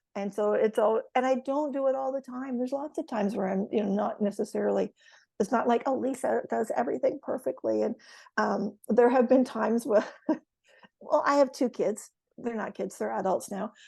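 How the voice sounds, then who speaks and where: A woman talks at a fairly quick pace in a fairly high pitch, her dark, mellow tone touched with vocal fry and ordinary pitch variation. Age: 60s. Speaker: retired educator. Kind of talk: casual chat. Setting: podcast.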